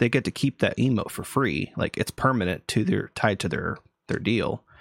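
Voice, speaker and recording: At a medium pitch and moderate pace, a man talks with lively intonation and vocal fry in a dry, close sound with no echo. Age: 30s. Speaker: podcast host. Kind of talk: casual chat.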